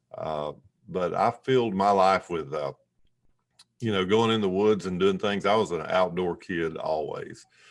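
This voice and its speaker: Speaking at a fairly slow pace, a man uses a very deep, low voice. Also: ordinary pitch variation. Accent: North Carolina. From US South, western North Carolina mountains. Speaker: entrepreneur and author. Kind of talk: interview conversation. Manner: hesitant, many fillers.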